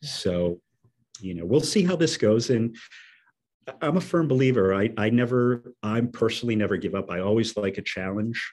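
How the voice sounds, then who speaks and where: Speaking with a Boston accent, a man uses medium pitch and lively intonation. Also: moderate pace. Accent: Boston area. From Medford, Massachusetts. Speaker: community organizer and resident. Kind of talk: casual interview.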